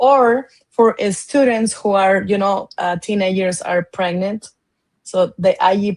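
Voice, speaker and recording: In a dry, close sound with no echo, a woman with a Spanish accent speaks at a fairly slow pace and a medium pitch with fairly even intonation. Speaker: education advocate. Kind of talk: interview. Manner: halting.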